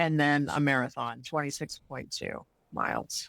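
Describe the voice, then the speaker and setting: A woman's voice in a very clean recording with a silent background. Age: 60s. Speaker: Ironman triathlete. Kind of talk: interview. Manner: halting.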